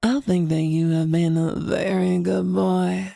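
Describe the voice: A raspy put-on character voice sits at a middle pitch. It moves at a fairly slow pace.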